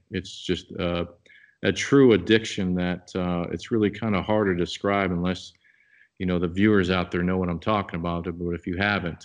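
A man with a very deep, low pitch and a Midwestern US accent speaks at a moderate pace against a quiet background. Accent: US Midwest. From Nebraska. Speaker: outdoor products company member and bowhunter. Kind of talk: podcast interview.

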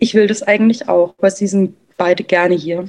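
At a moderate pace, a woman speaks at medium pitch with a dark, mellow tone and ordinary pitch variation. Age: 20s. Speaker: stepmother sharing her experience. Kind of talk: interview conversation.

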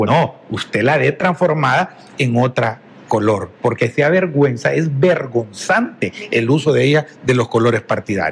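A man at a medium pitch and fairly slow pace, with lively intonation and noticeable background noise. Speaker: politician, election candidate. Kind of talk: political interview. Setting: TV studio.

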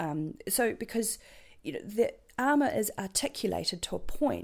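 A woman with a New Zealand accent. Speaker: medieval fighter and contract data worker. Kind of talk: casual interview chat.

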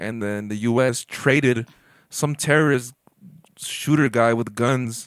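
Speaking fairly slowly, a man keeps to a medium pitch. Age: 20s. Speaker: podcast host. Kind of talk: casual chat. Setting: home bedroom. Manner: animated.

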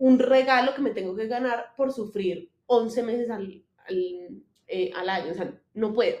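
A woman speaks at a fairly slow pace with a fairly high pitch and fairly even intonation. It is an ordinary speaking voice. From Colombia, Manizales. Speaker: clothing designer, former lawyer. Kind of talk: casual interview chat.

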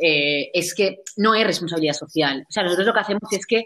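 A woman's normal speaking voice, fairly low-pitched, with ordinary pitch variation and a fairly quick pace. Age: 20s. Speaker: social entrepreneur. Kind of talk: interview. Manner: fast, with many fillers.

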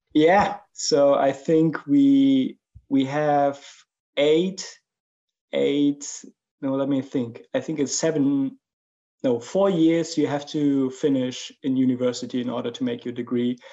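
Speaking very slowly with a German accent, a man uses a fairly high pitch, a dark, mellow tone and ordinary pitch variation. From Germany. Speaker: 3D creature artist. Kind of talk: interview conversation.

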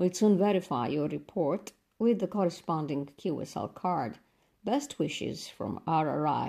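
On a very clean recording with a silent background, a woman speaks very slowly in a fairly low voice with a dark, mellow tone. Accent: Romanian. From Romania. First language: Romanian. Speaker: radio host of listener mailbag show. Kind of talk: reading listener letters. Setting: studio.

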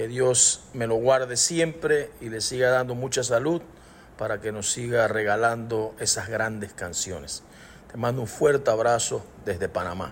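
A somewhat breathy man speaks at a fairly slow pace, with medium pitch and ordinary pitch variation. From Panama. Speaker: singer-songwriter. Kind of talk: recorded voice message.

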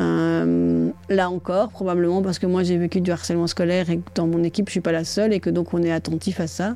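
This woman talks at a fairly quick pace with hardly any pauses and very even loudness. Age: 40s. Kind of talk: interview. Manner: hesitant.

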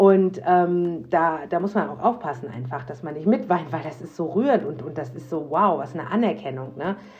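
Noticeable background noise beneath lively intonation and a moderate pace. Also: woman. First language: bilingual English and German (speaking German). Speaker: podcast host. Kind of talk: casual monologue. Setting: home office. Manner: spontaneous, unscripted.

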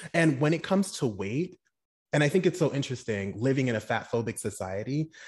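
In a quiet background, a man with a medium pitch and a somewhat breathy voice talks at a moderate pace with an animated tone and lively intonation. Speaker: psychologist and podcast host.

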